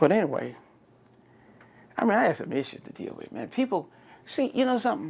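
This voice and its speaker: This man's voice swings very widely in pitch. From Texas, San Antonio. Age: 60s. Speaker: oral history interviewee. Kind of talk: oral history interview.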